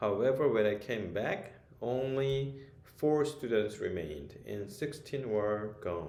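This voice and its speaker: With a dark, mellow tone and a medium pitch, a man speaks at a very slow pace with lively intonation, and audible room echo surrounds him. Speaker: author and ESL teacher. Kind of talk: book presentation. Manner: hesitant, frequent fillers.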